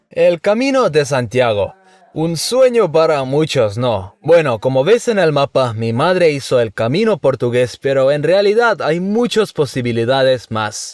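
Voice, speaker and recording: A man speaks with a Uruguayan accent at a fairly high pitch, his voice making very wide pitch swings. His pace is fairly slow, and the background is quiet. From Estonia. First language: Estonian (speaking Spanish). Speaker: vlogger. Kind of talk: travel vlog.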